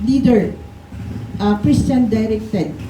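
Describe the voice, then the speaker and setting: Noticeable background noise and audible room echo run through the clip. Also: woman. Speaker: pastor. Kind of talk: sermon. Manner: gentle.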